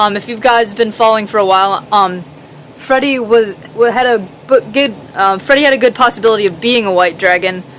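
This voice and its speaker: There is noticeable background noise behind this woman. Her voice sits at a medium pitch with ordinary variation. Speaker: reptile keeper. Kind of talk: casual talk to camera. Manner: stuttering, hesitant.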